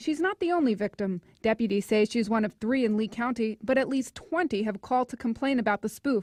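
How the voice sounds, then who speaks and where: Fairly quick and with hardly any pauses, a woman talks in an unremarkable speaking voice, fairly high with ordinary pitch variation, the sound dry and close with no echo. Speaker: TV news reporter. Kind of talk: TV news report.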